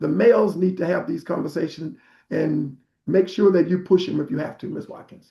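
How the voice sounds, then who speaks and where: With an American accent, a man talks at a fairly quick pace, his loudness swinging widely. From Arkansas, US South. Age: 60s. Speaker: prostate cancer survivor and health advocate. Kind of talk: health talk on a group call.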